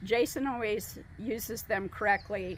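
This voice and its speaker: A woman speaks with lively intonation and vocal fry. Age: 60s. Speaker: dog trainer. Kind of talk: interview testimonial.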